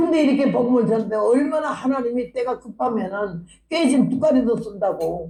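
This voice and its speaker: A woman speaks at a moderate pace with a fairly high pitch. Her voice is somewhat breathy, and her intonation is lively. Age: 80s+. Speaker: missionary preacher. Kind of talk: revival sermon with personal testimony. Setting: church revival meeting. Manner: animated.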